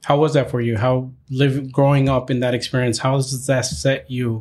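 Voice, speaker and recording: A somewhat breathy male voice in a very clean recording with a silent background. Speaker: podcast host. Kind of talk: casual interview.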